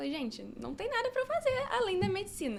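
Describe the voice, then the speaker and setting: A woman speaks while noticeable background noise is heard. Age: 20s. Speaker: medical student. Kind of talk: podcast interview. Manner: casual, filler-heavy.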